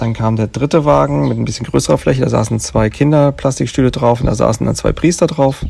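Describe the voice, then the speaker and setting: Fairly quick speech from a man, very wide pitch swings, noticeable background noise. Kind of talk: casual chat. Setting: outdoors at a remote lodge.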